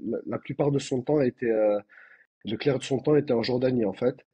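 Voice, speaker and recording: With a Toulouse accent, a man speaks somewhat breathily at a medium pitch and a fairly quick pace, keeping his intonation fairly even. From France, Toulouse. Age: 30s. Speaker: doctor. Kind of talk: podcast interview. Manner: halting, many fillers.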